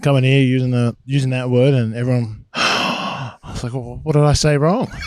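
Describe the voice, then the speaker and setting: At a moderate pace, a man speaks with an Australian accent, a medium pitch, and monotone, flat intonation. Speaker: pro football player. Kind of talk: casual chat.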